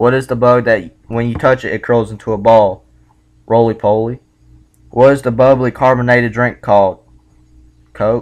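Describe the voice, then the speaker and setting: A man in a Southern US accent, flat and monotone, with long, frequent pauses against a quiet background. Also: medium pitch for a man, moderate pace. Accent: Southern American. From South Carolina, USA. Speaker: vlogger doing accent test. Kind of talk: accent test word list and questions. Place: home room. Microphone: webcam.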